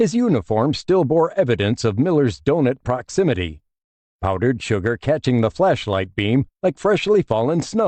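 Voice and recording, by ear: Against a quiet background, the speaker reads aloud in a natural voice.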